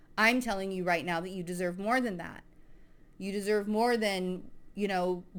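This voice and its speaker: An animated, medium-pitched woman's voice with audible room echo. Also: moderate pace. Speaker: spiritual podcast host. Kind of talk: casual monologue. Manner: wavering voice.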